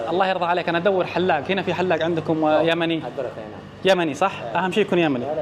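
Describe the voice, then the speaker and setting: Over noticeable background noise, a man rattles along at a very fast pace, high-pitched and animated in tone. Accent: Saudi. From Saudi Arabia. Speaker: travel vlogger. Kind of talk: travel vlog.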